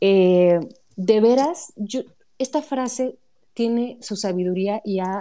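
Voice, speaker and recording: This woman's tone is dark and mellow. Her pitch varies in an ordinary way. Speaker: writer. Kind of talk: casual chat.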